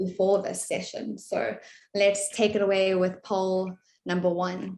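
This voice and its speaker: In a South African accent, a woman speaks at a moderate pace and a medium pitch. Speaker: webinar moderator, content marketing manager. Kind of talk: webinar presentation. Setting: online webinar.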